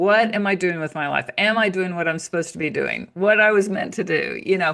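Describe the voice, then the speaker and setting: A woman with an American accent talks at a fairly quick pace, her intonation fairly even and her voice showing vocal fry. The background is quiet. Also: medium pitch for a woman. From United States. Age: 60s. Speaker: naturopath and author. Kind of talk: interview.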